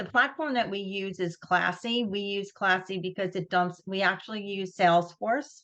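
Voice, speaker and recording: Against a quiet background, a woman with a Long Island accent speaks at medium pitch in a bright, sharp tone with ordinary pitch variation. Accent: Long Island New York. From Long Island, New York. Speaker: nonprofit executive director. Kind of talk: webinar presentation. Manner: casual, many fillers and restarts.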